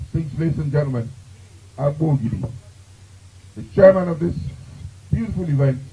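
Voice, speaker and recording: The man's pitch is fairly high, and his tone is dark and mellow. His voice sounds somewhat breathy. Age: 70s. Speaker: master of ceremonies. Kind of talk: event emceeing.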